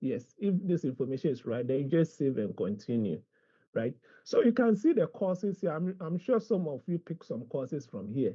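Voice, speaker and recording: Very wide swings in pitch from a male speaker, delivered at a moderate tempo. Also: fairly high pitch for a man. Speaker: university administrator. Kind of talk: orientation briefing and online tutorial.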